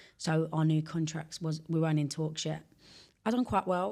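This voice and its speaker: The voice has a dark, mellow tone and fairly even intonation at a fairly quick pace. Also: woman. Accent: London. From England, West London. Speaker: former pro footballer, academy founder. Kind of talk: podcast interview.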